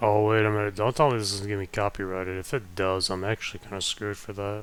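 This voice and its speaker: Soft-spoken man with a fairly low pitch, fairly even intonation and a very fast pace. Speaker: gaming streamer. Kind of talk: live gameplay commentary. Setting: home stream setup near family bedrooms. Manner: quiet, speaking softly; casual, hesitant with fillers.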